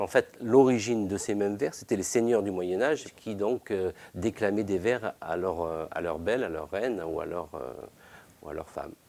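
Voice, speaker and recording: With a fairly low pitch and ordinary pitch variation, a man speaks at a moderate pace. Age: 50s. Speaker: bookbinder, workshop owner. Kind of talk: interview. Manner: halting, many hesitations.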